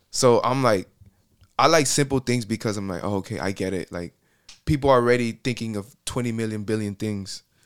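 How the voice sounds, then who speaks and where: A man with an American accent uses a plain, everyday voice of medium pitch, talking at a fairly quick pace with ordinary pitch variation. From Miami, Florida. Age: 20s. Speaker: musician and graphic designer. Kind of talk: casual chat. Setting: studio.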